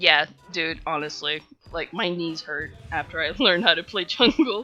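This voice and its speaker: Music plays in the background as a woman talks with a fairly low pitch. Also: ordinary pitch variation, moderate pace. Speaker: gaming streamer. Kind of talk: live game streaming with commentary. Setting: live stream.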